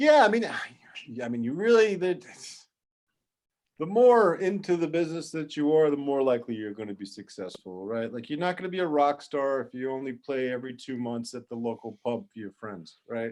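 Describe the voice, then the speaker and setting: A man with a New York accent speaks at a moderate pace in a fairly high pitch. His voice makes very wide pitch swings and big swings in loudness. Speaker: toy product development expert. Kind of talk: workshop interview. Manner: casual, halting with many restarts.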